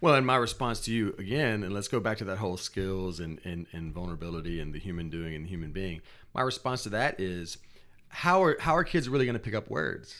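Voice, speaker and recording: This man's voice sits at a very deep, low pitch. His intonation is lively. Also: fairly quick pace. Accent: American. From US South. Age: 30s. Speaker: spoken word artist. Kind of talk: interview. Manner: halting, many repeated words.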